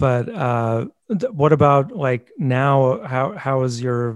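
A man's medium-pitched, plain, everyday voice. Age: 40s. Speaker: podcast host. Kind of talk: casual interview chat.

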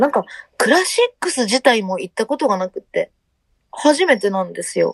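Heard with a dry, close sound and no echo, a woman speaks at a moderate pace in a high pitch with very wide pitch swings. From Hiroshima, Japan. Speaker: band vocalist. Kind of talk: interview.

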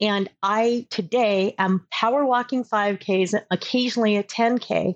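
With a dry, close sound and no echo, a woman speaks in a plain, everyday voice at a fairly high pitch with ordinary pitch variation. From Southern California. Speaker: career coach. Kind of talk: interview.

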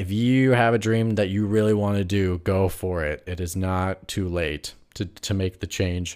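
In a very clean recording with a silent background, a man with an American accent and a normal speaking voice talks at a fairly low pitch and moderate pace, with fairly even intonation and hardly any pauses. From Wisconsin. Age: 20s. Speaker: podcast host. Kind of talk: casual chat. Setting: live stream.

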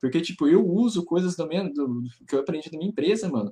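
A man's high-pitched voice, dark and mellow in tone, at a fairly quick pace. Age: 20s. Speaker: professional poker player. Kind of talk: casual chat.

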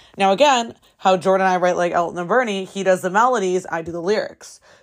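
A woman speaks very fast in a General American accent, her tone animated and her pitch medium. The recording is very clean, with a silent background. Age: 20s. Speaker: podcast host and singer-songwriter. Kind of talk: casual solo podcast monologue. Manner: animated, casual, profane.

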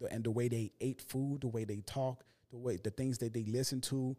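A man talks at a very fast pace with a medium pitch and a dark, mellow tone. His intonation stays fairly even. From Haitian family. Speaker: podcaster and musician. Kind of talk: casual chat.

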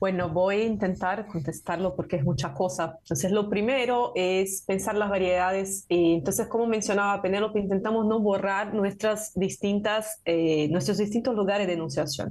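A woman with a Portuguese accent speaks at a medium pitch, somewhat breathy. Her loudness stays very even, with ordinary pitch variation. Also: moderate pace, hardly any pauses. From Brazil. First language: Portuguese (speaking Spanish). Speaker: university professor and translator. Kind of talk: interview conversation.

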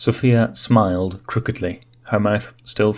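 The speaker uses an unforced reading voice. Nothing about the delivery is pushed.

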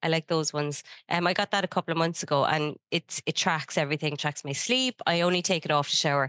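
A woman with an Irish accent at a very fast pace, fairly low in pitch, bright and sharp in tone, very even in loudness, with a dry, close sound with no echo and a quiet background. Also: ordinary pitch variation. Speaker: podcast co-host, business consultant. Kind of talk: casual chat.

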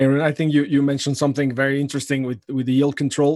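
A man with a Spanish accent speaks at a fairly high pitch in a monotone, flat intonation. The sound is dry and close, without echo. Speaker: podcast host, economist. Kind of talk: interview.

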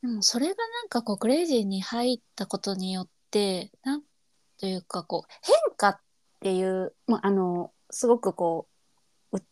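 In a very clean recording with a silent background and a dry, close sound with no echo, a woman with a Kansai accent speaks at a moderate pace with a medium pitch and ordinary pitch variation. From Kansai, Japan. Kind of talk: casual chat.

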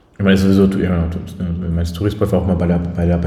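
A man is speaking. Room echo is audible. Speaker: podcast co-host. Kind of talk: casual chat. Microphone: room echo, not the proper microphone.

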